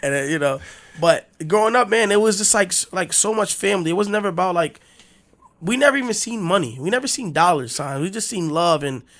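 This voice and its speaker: A man's high-pitched voice with an American accent, lively intonation and a fairly quick pace. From Newark, New Jersey. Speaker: DJ and entrepreneur. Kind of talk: casual podcast interview.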